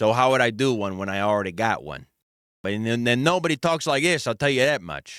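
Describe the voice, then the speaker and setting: An animated male voice at medium pitch, with lively intonation. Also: fairly quick pace. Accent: Chicago. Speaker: streamer. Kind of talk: casual reaction commentary.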